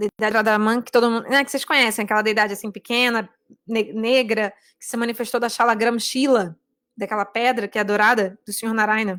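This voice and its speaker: A woman speaks very fast in a fairly high voice with fairly even intonation. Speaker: religious teacher. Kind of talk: online class on a devotional book. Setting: live stream.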